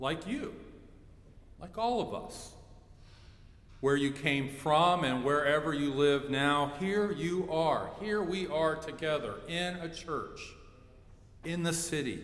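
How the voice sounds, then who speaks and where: A man with an American accent and a fairly high pitch at a very slow pace, with long, frequent pauses, noticeable background noise, and audible room echo. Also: ordinary pitch variation. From Ohio. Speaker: pastor. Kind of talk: sermon. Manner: animated.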